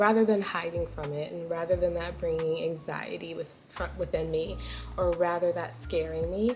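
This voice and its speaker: Moderately paced female speech under noticeable background noise. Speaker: lifestyle vlogger. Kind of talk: casual chat. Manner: animated.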